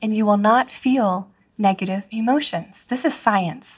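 A woman's fairly high, somewhat breathy voice at a moderate pace, with ordinary pitch variation. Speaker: podcast host, marriage coach. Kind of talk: motivational monologue. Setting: solo podcast recording.

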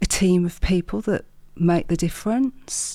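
On a very clean recording with a silent background, a woman speaks at a moderate pace with medium pitch, ordinary pitch variation, and a dark, mellow tone. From Wolverhampton, West Midlands. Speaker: business owner and mindset coach. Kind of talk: interview, personal storytelling.

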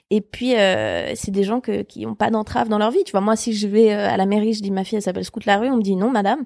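Very fast and fairly even in intonation, a woman speaks at a fairly high pitch in a very clean recording with a silent background and a dry, close sound with no echo. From Switzerland. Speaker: comedian. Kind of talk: casual chat.

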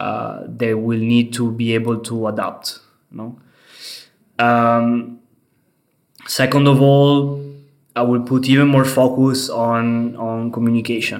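A man with an Italian accent speaks very slowly at a medium pitch, with monotone, flat intonation. Long, frequent pauses break up his speech, and audible room echo surrounds it. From Italy, Venice. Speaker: head of software engineering. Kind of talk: interview. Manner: hesitant, many fillers.

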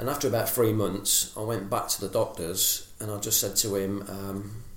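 A man speaks at a moderate pace in a fairly low pitch. His voice is somewhat breathy. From England. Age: 40s. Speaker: menswear influencer, former builder. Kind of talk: interview. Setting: at his home.

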